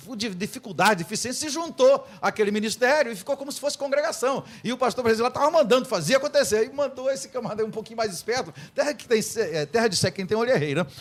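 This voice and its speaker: Noticeable background noise sits behind speech delivered at a very fast pace. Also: man, extremely high pitch for a man, lively intonation. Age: 60s. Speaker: pastor. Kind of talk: radio debate. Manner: halting.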